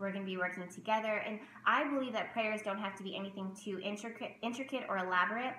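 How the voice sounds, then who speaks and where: A woman talks at a very fast pace in an animated tone. Audible room echo and light background noise are present. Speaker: tarot reader and spiritual content creator; tarot teacher vlogger. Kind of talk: casual vlog tutorial. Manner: loud, animated. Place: home room. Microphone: webcam.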